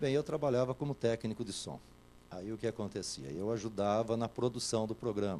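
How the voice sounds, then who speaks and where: This man's tone is dark and mellow. He speaks at a moderate pace with ordinary pitch variation. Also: medium pitch for a man. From São Paulo interior (Itatiba). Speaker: radio host. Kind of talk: interview. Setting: TV studio.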